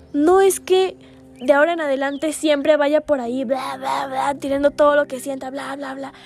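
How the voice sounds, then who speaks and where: A woman speaks at a moderate pace in a high voice, her intonation fairly even. Her loudness swings widely, with music playing behind her. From Guatemala. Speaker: podcast host. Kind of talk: reflective monologue. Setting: seated, solo recording.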